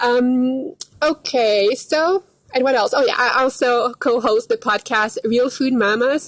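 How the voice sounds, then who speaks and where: A woman speaks with a Quebec accent at a high pitch. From Quebec, Canada. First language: French. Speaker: dietitian. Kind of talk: live stream casual chat. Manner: hesitant, many fillers.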